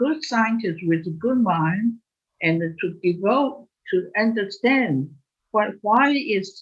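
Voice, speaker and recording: Somewhat breathy, a woman speaks at a very slow pace in a medium pitch with very wide pitch swings. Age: 80s+. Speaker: molecular biology professor. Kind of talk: interview. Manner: halting.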